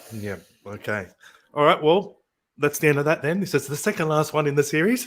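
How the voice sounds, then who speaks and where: Speaking at a fairly quick pace, a man has an Australian accent. His fairly high voice swings very widely in pitch. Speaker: podcast host. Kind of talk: casual chat.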